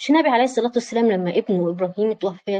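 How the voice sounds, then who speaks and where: Her dark, mellow tone comes at a fairly quick pace, with a dry, close sound and no echo. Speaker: psychology and self-awareness coach. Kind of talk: online lecture with live audience. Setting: online video session. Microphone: voice may be cutting in and out.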